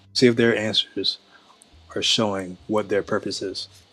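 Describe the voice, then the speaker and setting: A man with an American accent talks at a moderate pace over music in the background. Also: long, frequent pauses. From Sacramento, California, US. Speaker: online book club host. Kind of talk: video reaction commentary.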